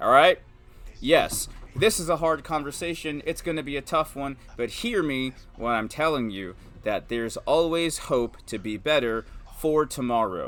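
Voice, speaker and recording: A man talks in an animated tone with lively intonation and a fairly high pitch. His pace is moderate. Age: 30s. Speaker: stay-at-home dad and video host. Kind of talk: personal monologue. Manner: loud.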